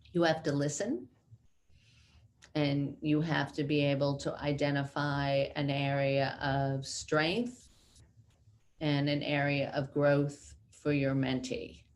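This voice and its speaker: With a New York accent, a woman talks at a very slow pace in a very deep, low pitch, with fairly even intonation and long, frequent pauses. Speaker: company CEO. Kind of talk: interview.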